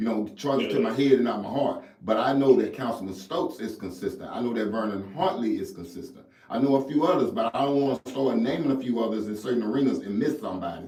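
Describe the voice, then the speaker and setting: Speaking at a very fast pace, a man with a medium pitch is heard with audible room echo. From Jackson, Mississippi, US South. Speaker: mentorship coach. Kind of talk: radio interview. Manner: animated.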